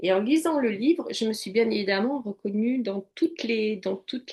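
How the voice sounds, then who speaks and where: Her voice sits fairly high, and this woman's pitch shifts in a normal way as she talks. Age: 60s. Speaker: coach and psychotherapy practitioner. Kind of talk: interview testimony.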